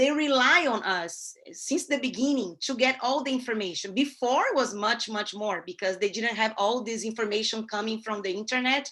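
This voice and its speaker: With a Brazilian Portuguese accent, a woman speaks at a fairly high pitch with ordinary pitch variation and hardly any pauses. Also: moderate pace. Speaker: newspaper columnist and ad sales; representative of a newspaper. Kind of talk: guest talk to a class. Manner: halting, many fillers. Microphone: video call.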